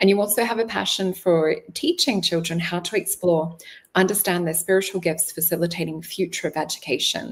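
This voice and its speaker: At a fairly quick pace, a woman with an Australian accent speaks at a medium pitch. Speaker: spiritual show host, psychic reader. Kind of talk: interview.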